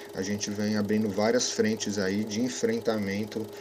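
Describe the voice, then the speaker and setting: Against noticeable background noise, a man speaks at a fairly slow pace in a fairly low pitch with monotone, flat intonation. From Brazil, São Paulo south zone. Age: 30s. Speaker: cinematographer. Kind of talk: interview.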